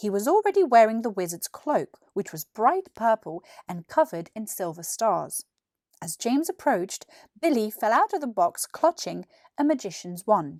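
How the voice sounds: A woman at medium pitch makes big pitch swings, recorded with a dry, close sound and no echo. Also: moderate pace, slightly mellow tone.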